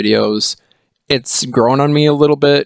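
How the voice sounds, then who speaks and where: Here is a man with an ordinary speaking voice and ordinary pitch variation. The sound is dry and close, with no echo. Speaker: hockey YouTuber. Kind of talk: casual commentary monologue.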